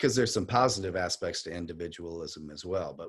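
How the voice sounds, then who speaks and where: The man's pitch is very deep and low. He talks at a very fast pace. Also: quiet background. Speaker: poet and activist. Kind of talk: talk on poetry and activism.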